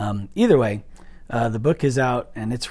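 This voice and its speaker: Fairly even intonation and a moderate pace mark an unremarkable speaking voice. Everything is captured in a very clean recording with a silent background. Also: man. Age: 50s. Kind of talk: casual devotional monologue. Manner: conversational with fillers.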